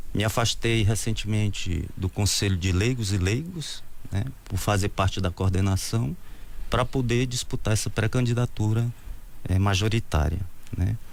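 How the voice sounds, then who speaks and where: A man speaks in an ordinary speaking voice at a fairly low pitch and a moderate pace. His loudness stays very even, and his pitch varies in an ordinary way. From Brazil, Ceará (Crateús). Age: 50s. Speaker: mayoral candidate. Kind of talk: interview.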